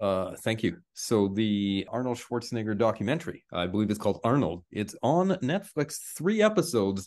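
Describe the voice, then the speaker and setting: Using a normal speaking voice, a man talks at a moderate pace with lively intonation. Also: medium pitch for a man, quiet background. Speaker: radio co-host. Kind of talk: casual radio chat.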